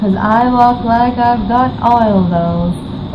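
A woman's voice amid noticeable background noise. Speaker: poetry reciter. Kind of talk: poetry reading. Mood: playful, confident, smiling. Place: home room. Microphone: webcam.

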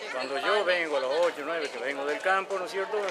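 A man speaks at a fairly quick pace in a high pitch. Loud background noise runs behind him. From Argentina. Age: 60s. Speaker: resident in a land dispute. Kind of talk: interview. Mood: aggrieved, explaining a conflict. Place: street.

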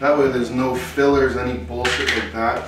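With clear music in the background and audible room echo, a man speaks at a moderate pace. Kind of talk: casual vlog chat. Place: kitchen.

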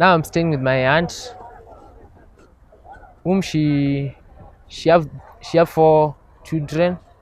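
With ordinary pitch variation, a man speaks at a very slow pace, the sound dry with no echo. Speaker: interviewee. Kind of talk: interview answer. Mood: grateful, earnest. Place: open country.

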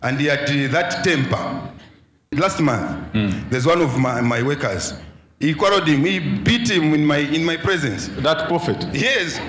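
A man's fairly high-pitched voice with lively intonation and very even loudness at a fairly slow pace, with audible room echo and light background noise. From Zambia. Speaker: church member. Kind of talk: testimony. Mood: earnest, slightly amused. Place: church. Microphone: handheld.

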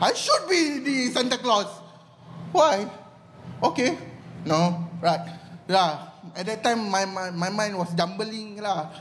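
A man with a Malaysian accent speaks very slowly at a high pitch, with long, frequent pauses. His intonation is lively, with light background noise. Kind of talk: stand-up comedy. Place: stage. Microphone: handheld.

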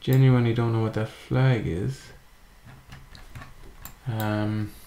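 Speaking very slowly, a man with an Irish accent uses a medium pitch and ordinary pitch variation. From Ireland. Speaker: gaming YouTuber. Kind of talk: casual gameplay commentary. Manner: hesitant, thinking aloud.

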